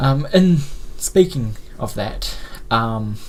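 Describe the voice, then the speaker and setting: Audible room echo is present as a man talks with a New Zealand accent. His pitch varies in an ordinary way. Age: 20s. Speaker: media company founder. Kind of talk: live stream talk. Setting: live stream at home with blurred background. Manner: halting, many fillers.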